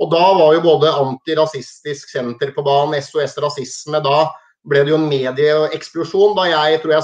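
A man's normal speaking voice, fairly high in pitch, at a moderate pace with hardly any pauses, fairly even intonation and a quiet background. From Norway, Hamar; Norway. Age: 40s. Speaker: former football and ice hockey referee; interview guest. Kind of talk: interview. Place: home room. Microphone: video call.

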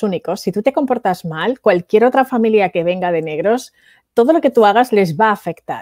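A woman with a Spanish accent, fairly high pitch, dark and mellow tone, lively intonation and moderate pace, in a dry sound with no echo over a quiet background. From Spain (Valencia); Spain. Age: 40s. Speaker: entrepreneur and international speaker; speaker. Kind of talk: interview. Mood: reflective, recalling hard childhood. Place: home room. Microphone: headset.

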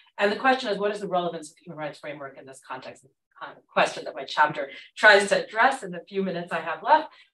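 A woman at a very fast pace, bright and sharp in tone, with very wide pitch swings, big swings in loudness, audible room echo and a quiet background. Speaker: Middle East scholar; panelist. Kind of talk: academic panel talk. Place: classroom.

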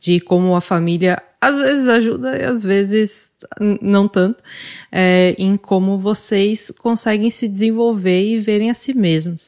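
A woman with a plain, everyday voice talks at a fairly slow pace, with a medium pitch, ordinary pitch variation and very even loudness. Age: 30s. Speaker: podcast host. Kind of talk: interview moderation; scripted podcast intro.

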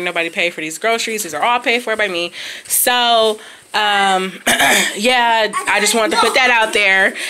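A woman talks at a fairly quick pace. Her pitch varies in an ordinary way. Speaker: parent vlogger. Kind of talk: casual vlog chat. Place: home room. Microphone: phone near.

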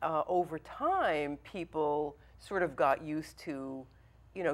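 A woman talks in a fairly low-pitched voice with ordinary pitch variation. She speaks at a fairly slow pace. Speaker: talk show guest. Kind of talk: interview answer. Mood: calm, reflective. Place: studio. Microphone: lapel.

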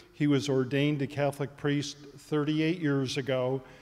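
The speech is very slow, with monotone, flat intonation. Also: man. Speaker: event host introducing speaker. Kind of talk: formal introduction. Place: church. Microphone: handheld.

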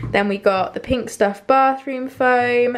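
Speaking at a fairly slow pace, a woman with a British accent keeps her intonation fairly even. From UK. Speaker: vlogger. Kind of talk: casual vlog. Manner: halting. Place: kitchen. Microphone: phone near.

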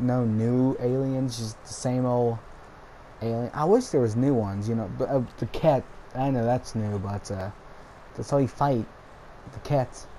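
With noticeable background noise, a man speaks at a fairly slow pace, leaving long, frequent pauses. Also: medium pitch for a man, fairly even intonation. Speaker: gaming YouTuber. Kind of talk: casual vlog monologue. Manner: rambling, frequent filler words.

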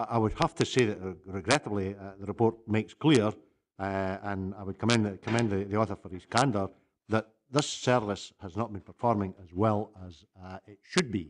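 Fairly low in pitch, a man speaks in a normal speaking voice at a moderate pace with fairly even intonation and light background noise. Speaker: elected council member. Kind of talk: formal committee debate question. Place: meeting room.

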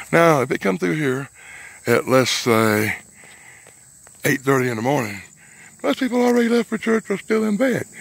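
A man speaks in a Southern US accent, fairly high in pitch with very wide pitch swings. Long, frequent pauses come often, and the sound is dry with no echo. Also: moderate pace. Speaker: vlogger, bigfoot investigator. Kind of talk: outdoor vlog narration. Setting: outdoors in the woods. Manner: quieter, cautious. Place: forest. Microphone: phone near.

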